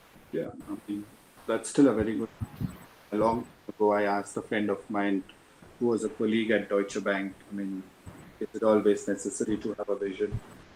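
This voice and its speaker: A soft-spoken man's fairly low, monotone, flat voice, fairly quick but broken by long, frequent pauses. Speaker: alumnus moderator. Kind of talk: panel discussion. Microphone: too quiet.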